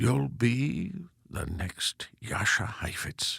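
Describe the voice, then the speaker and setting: Using a put-on character voice, a man speaks at a very slow pace with very wide pitch swings. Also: medium pitch for a man. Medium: read story.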